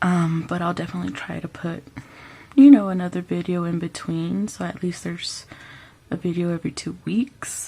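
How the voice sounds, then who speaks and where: Speaking at a moderate pace, a woman uses a fairly low pitch and ordinary pitch variation. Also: big swings in loudness. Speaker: personal finance vlogger. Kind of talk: casual vlog talk. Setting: at home, parents asleep.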